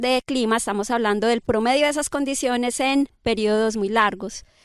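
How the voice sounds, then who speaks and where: A woman with an unremarkable speaking voice talks at a moderate pace in a fairly high pitch with fairly even intonation. The recording is very clean, with a silent background and a dry, close sound with no echo. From Colombia. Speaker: climate scientist. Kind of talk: interview conversation. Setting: outdoors by a river.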